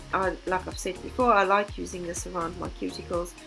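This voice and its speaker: Music plays behind a woman who talks at a moderate pace. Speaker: beginner nail technician. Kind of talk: tutorial voice-over.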